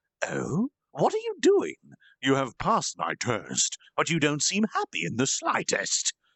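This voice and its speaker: At a moderate pace, a man performs in a put-on character voice. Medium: read story. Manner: courteous, smug, theatrical.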